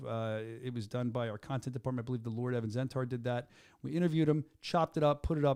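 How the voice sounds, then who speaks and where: In a Philadelphia accent, a man talks at a fairly quick pace with an animated tone and medium pitch. His pitch variation is ordinary, and the recording is very clean with a silent background. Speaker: combat sports show host. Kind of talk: casual chat. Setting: studio.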